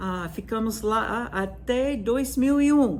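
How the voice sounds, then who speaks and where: With an American accent, a somewhat breathy woman speaks with ordinary pitch variation, and audible room echo surrounds her voice. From US, Virginia. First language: English (speaking Portuguese). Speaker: music professor. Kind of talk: lecture. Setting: video recording from her classroom. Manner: hesitant, with frequent fillers.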